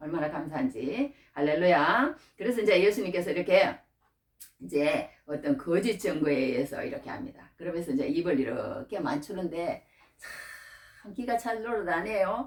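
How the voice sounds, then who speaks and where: A medium-pitched woman with a Gyeongsang accent at a moderate pace, with very wide pitch swings and big swings in loudness. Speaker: preacher. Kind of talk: sermon. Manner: repetitive, halting.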